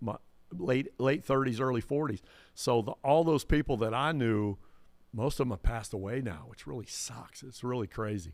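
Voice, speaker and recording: Here a man speaks in a plain, everyday voice with lively intonation. The recording is very clean, with a silent background. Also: medium pitch for a man, moderate pace, big swings in loudness. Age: 60s. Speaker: DJ and entertainer. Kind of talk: casual chat.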